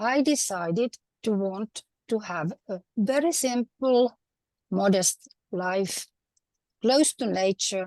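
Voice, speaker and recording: A woman with a Finnish accent speaks at a very slow pace and a fairly high pitch, with lively intonation and long, frequent pauses, in a dry, close sound with no echo. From Finland. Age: 70s. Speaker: retired housewife, conference speaker. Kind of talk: pre-recorded talk.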